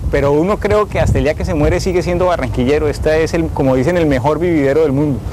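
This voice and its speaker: A man's fairly high voice at a very fast pace, very even in loudness, with hardly any pauses and noticeable background noise. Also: ordinary pitch variation. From Colombian Caribbean coast, Barranquilla. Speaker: government official. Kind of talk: interview.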